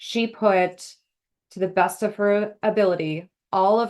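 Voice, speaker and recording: With a Minnesota accent, a woman talks in fairly even intonation. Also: quiet background. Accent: Minnesota (Upper Midwest). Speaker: association executive. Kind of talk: interview. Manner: casual, lots of filler words.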